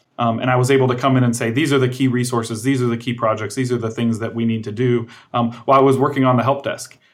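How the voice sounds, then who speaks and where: Speaking at a very fast pace, a man with an American accent and a medium pitch keeps a monotone, flat intonation. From Indiana, US Midwest. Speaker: tech executive. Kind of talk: interview. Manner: hesitant, many fillers.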